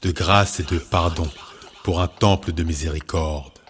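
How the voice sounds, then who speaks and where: This man talks very slowly with a somewhat breathy voice and fairly even intonation. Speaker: poet. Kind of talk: spoken word poetry declamation.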